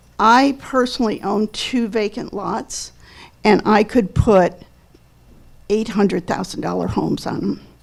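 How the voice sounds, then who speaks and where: Vocal fry, fairly even intonation and a fairly slow pace, broken by long, frequent pauses. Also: woman, medium pitch for a woman. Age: 70s. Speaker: public commenter, realtor and landlord. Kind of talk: public comment at council meeting. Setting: city council meeting.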